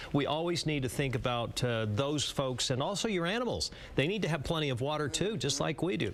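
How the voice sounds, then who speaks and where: Speaking in a normal speaking voice with an American accent, a man talks at a fairly quick pace in a fairly high pitch, his intonation lively and his loudness very even. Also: hardly any pauses. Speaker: TV weather forecaster. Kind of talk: TV weathercast.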